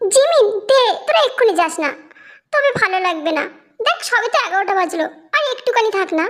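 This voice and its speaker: Delivered at a fairly quick pace, this put-on character voice leaps through very wide pitch swings. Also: woman, extremely high pitch for a woman. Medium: read story. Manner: warm, coaxing.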